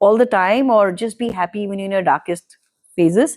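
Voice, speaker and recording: A woman with a Kannada accent, medium in pitch, dark and mellow in tone, at a moderate pace. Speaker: podcast guest. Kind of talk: casual interview conversation.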